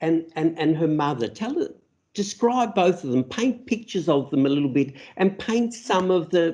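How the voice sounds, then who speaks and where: A man with an Australian accent speaks at a moderate pace in a dark, mellow tone. His pitch sits high and swings very widely. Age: 60s. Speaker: interviewer. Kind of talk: interview. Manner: halting.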